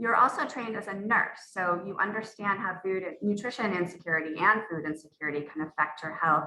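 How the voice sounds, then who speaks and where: Delivered at a fairly quick pace, this is a plain, everyday voice with ordinary pitch variation. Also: woman. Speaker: panel moderator. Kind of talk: panel moderation.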